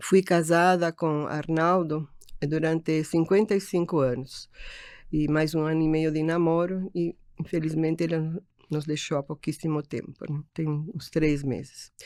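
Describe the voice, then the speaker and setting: Her pitch is very deep and low, and this woman speaks at a fairly slow pace with fairly even intonation. The recording is very clean, with a silent background. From Uruguay (Montevideo). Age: 70s. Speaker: architect and optician business owner. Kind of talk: interview. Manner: halting.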